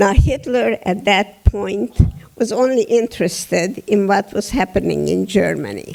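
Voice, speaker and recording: Fairly slow speech with a Hungarian accent. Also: woman. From Hungary, Budapest. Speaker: Holocaust survivor speaker. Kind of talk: testimony. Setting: theatre stage with audience.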